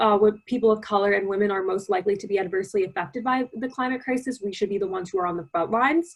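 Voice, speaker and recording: Speaking in an American accent, a woman's voice sits fairly high. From US. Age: young. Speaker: youth climate activist. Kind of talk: presentation.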